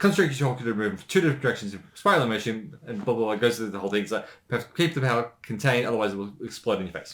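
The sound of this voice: A man speaks fast in a fairly low pitch with ordinary variation. His tone is fairly bright.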